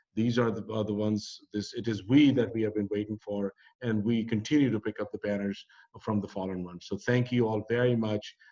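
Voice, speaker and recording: A man with a Pakistani accent speaks at a fairly quick pace in a fairly low, dark and mellow voice with flat, monotone intonation. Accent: South Asian (Pakistani) English. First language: Urdu or Punjabi. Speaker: community organizer. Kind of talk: closing remarks of online panel. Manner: halting.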